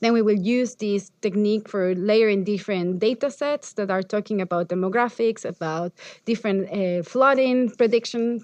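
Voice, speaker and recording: With an ordinary speaking voice, a woman talks at a moderate pace and medium pitch, with ordinary pitch variation and hardly any pauses. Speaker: architecture professor and researcher. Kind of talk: lecture.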